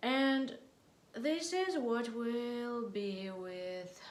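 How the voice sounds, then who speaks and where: A woman speaks quietly with lively intonation. Room echo is audible. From Russia. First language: Russian. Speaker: political vlogger. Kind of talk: political monologue to camera. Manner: halting, hesitant non-native English.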